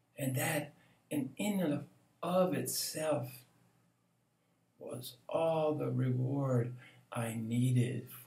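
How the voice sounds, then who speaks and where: Amid audible room echo, a medium-pitched man speaks at a very slow pace with long, frequent pauses, big swings in loudness and ordinary pitch variation. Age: 70s. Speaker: meditation teacher. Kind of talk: spiritual reflection monologue.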